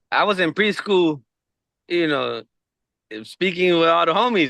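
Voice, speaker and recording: With a high pitch and ordinary pitch variation, a man speaks at a moderate pace. Long, frequent pauses break up his speech. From Los Angeles (Watts), California, born in Mexico. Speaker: comedian. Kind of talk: casual interview chat.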